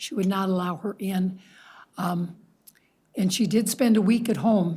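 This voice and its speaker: Here a woman's voice is somewhat breathy, with a dark, mellow tone. The recording is very clean, with a silent background. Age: 70s. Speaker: resident speaking at public comment. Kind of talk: public comment at council meeting.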